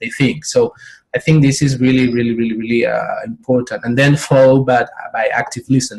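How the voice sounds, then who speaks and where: A man speaks at a moderate pace in a flat, monotone delivery. His pitch sits in the middle range, and his voice is somewhat breathy. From Spain. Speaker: professional coach. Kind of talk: interview. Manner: halting, with many repetitions.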